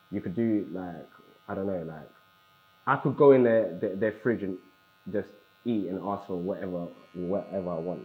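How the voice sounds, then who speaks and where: Noticeable background noise accompanies a man speaking at a moderate pace with a fairly low pitch and ordinary pitch variation. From England (moved from South Africa at six). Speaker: interviewee sharing life story. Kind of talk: interview testimony. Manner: casual, halting with fillers.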